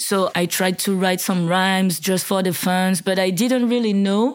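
On a very clean recording with a silent background, a woman with a French accent speaks at a medium pitch and fairly slow pace, her intonation fairly even. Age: 30s. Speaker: rapper. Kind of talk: interview. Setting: in person, Martigny.

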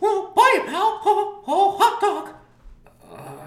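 A put-on character voice at an extremely high pitch. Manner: cheerful, goofy.

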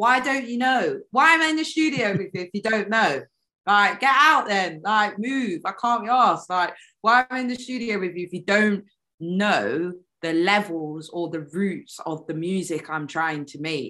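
The speaker has a strong British accent and a bright, sharp tone. Pitch swings very widely at a moderate pace. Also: woman, medium pitch for a woman. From United Kingdom. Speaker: neo-soul and hip hop singer. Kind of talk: casual interview chat. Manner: animated.

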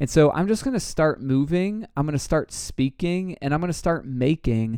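A man's dark, mellow tone with lively intonation, delivered at a moderate pace. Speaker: podcast host. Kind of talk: casual podcast conversation.

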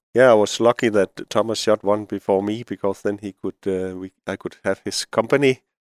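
A man with a Danish accent speaks at a moderate pace and fairly low pitch with fairly even intonation, in a very clean recording with a silent background and a dry, close sound with no echo. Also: hardly any pauses. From Denmark. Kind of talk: casual interview chat. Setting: studio.

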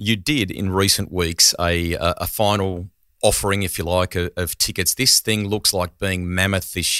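A man's fairly low voice in a flat, monotone delivery, on a very clean recording with a silent background. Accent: Australian. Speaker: motoring podcast host. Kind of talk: casual chat. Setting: studio.

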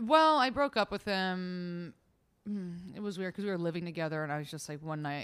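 A woman's fairly quick, lively speech with big swings in loudness, in a very clean recording with a silent background. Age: 20s. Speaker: comedian. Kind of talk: casual chat.

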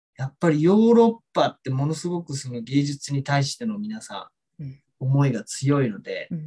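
With very wide pitch swings, a man with a fairly high pitch and a dark, mellow tone speaks somewhat breathily at a fairly quick pace, in a dry, close sound with no echo. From Tokyo, Japan. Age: 40s. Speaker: ballet dancer and choreographer. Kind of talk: interview. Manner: hesitant with many fillers.

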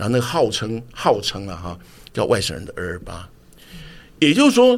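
Lively intonation marks a man's medium-pitched voice at a moderate pace. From Taiwan (Tamsui; grew up in Dazhi, Taipei). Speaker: TV drama director. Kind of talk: interview conversation.

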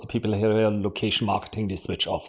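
A man talks at a very fast pace with a German accent. His pitch is fairly low. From Germany. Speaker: marketing executive. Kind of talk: podcast interview.

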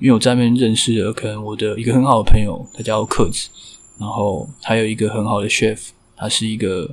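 A man with a plain, everyday voice speaks fairly quickly in a fairly low pitch. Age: 20s. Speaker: bartender. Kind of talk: personal life story interview.

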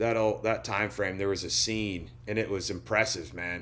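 A man's fairly low voice moves at a moderate pace. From Oklahoma (small town). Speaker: country singer and tequila brand founder. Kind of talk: casual interview chat.

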